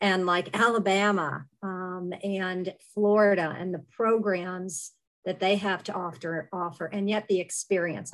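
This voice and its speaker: A woman with an American accent speaks at a medium pitch in a plain, everyday voice. Her intonation is fairly even and her pace fairly slow, over a quiet background. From Western Pennsylvania. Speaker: leadership program director. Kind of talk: panel discussion.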